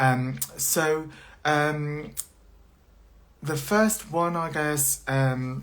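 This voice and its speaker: Amid audible room echo, a man with a fairly high pitch and ordinary pitch variation speaks at a very slow pace with long, frequent pauses. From China. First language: Mandarin Chinese. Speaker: university lecturer. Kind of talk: live social media chat. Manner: halting with many fillers.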